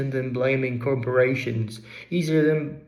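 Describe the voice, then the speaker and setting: In a room with audible echo, a man speaks at medium pitch and a fairly slow pace with fairly even intonation. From England, Derbyshire. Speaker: vlogger. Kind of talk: personal essay narration.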